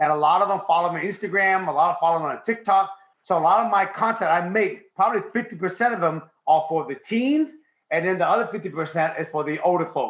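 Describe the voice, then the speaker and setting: An American accent marks this man's high-pitched voice, delivered at a very fast pace with ordinary pitch variation. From Washington State, US (Vietnamese refugee, arrived age five). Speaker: real estate investor. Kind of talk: interview storytelling.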